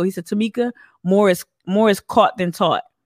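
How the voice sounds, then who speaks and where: With a slight Northeastern US accent, a woman talks at a fairly quick pace in an animated tone, her medium pitch showing ordinary variation, recorded with a dry, close sound and no echo. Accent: Northeast US, slight. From northern New Jersey. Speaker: activist. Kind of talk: casual interview chat. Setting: video call. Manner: animated, outspoken.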